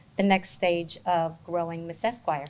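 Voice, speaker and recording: Someone speaks with a Spanish accent. The pace is fairly slow. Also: woman. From New Jersey (Bloomfield), born in Argentina. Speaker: interpreting company founder. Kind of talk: interview.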